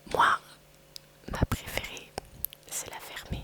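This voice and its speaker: Noticeable background noise fills the recording. Through it, a woman whispers fairly slowly. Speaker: ASMR creator. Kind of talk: ASMR whispering. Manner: whispering; hesitant, many fillers.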